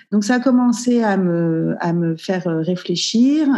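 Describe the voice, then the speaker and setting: A woman talks at a medium pitch with ordinary pitch variation and a dark, mellow tone. The background is quiet. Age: 40s. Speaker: entrepreneur. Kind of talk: casual interview.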